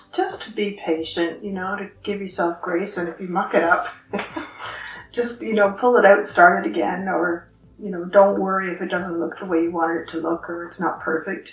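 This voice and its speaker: A woman's medium-pitched voice with an Ontario accent, audible room echo and music in the background. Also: moderate pace. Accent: Canadian (Ontario). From Ontario, Canada. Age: 60s. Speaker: knitting group co-founder. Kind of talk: interview. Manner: halting.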